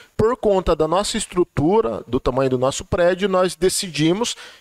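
With lively intonation, a man with an unremarkable speaking voice talks at a moderate pace in a dry, close recording with no echo. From Vale do Ribeira, São Paulo state, Brazil (Cajati). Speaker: technical school director. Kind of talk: casual chat.

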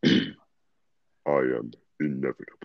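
A man puts on a character voice. It is pitched very deep and low. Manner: menacing, calm, imposing.

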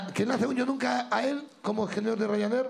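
A man talks very fast in a high, animated voice over noticeable background noise. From Sierra de Madrid, Spain. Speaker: podcast host. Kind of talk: live show with audience. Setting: stage with audience.

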